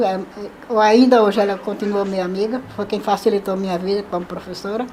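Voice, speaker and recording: At a moderate pace, a woman speaks with fairly even intonation against noticeable background noise. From Brazil, Pernambuco sertão (Salgueiro). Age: 70s. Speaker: retired teacher and seamstress. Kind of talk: life story interview. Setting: at her home.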